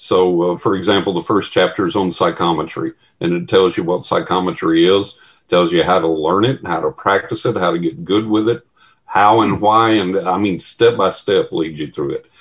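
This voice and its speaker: A man's very deep, low voice in a Texan accent, at a moderate pace with ordinary pitch variation. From West Texas. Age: 60s. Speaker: paranormal researcher. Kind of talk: casual chat.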